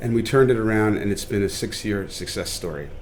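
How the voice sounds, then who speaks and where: Audible room echo surrounds a man with a fairly low pitch. He talks at a very fast pace with fairly even intonation. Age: 60s. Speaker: chef and restaurateur. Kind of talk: podcast interview.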